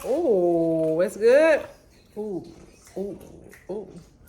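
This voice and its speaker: Noticeable background noise sits behind a woman talking in a medium pitch. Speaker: vlogger. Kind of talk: casual vlog talk.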